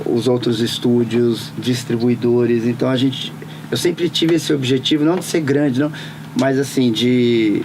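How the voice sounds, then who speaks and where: Against noticeable background noise, a man talks at a fairly slow pace in a medium pitch, with ordinary pitch variation and very even loudness. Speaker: voice actor and dubbing studio owner. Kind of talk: interview answer.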